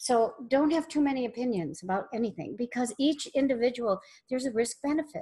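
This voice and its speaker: Her voice is high in pitch, with ordinary pitch variation. The woman speaks at a moderate pace. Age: 60s. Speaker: spiritual teacher. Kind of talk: webinar discussion.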